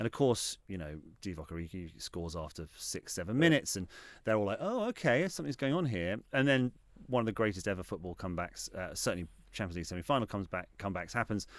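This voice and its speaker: Very fast, lively speech from a man with a fairly low pitch, on a very clean recording with a silent background. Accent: southern English. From England, Reading. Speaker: football club executive and TV writer. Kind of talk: interview. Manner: halting; animated.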